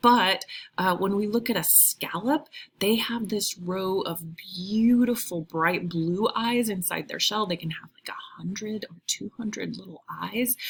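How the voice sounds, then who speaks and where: This woman has a plain, everyday voice at a medium pitch, with ordinary pitch variation. She speaks at a fairly slow pace, with big swings in loudness. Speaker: high school biology teacher. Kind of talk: recorded video lecture. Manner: casual, with many fillers (um, uh).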